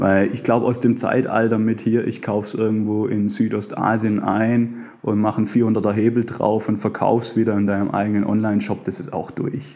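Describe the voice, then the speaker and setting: Hardly pausing, a man talks at a fairly quick pace and fairly low pitch with monotone, flat intonation. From Swabia, near Stuttgart. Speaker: bank client advisor and underwear label founder. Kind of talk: interview.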